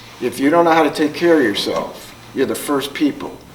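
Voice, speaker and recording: A man is speaking in a room with audible echo. Noticeable background noise runs underneath. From Newark, New Jersey, US. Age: 70s. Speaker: psychologist and trauma counselor. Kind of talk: conference talk.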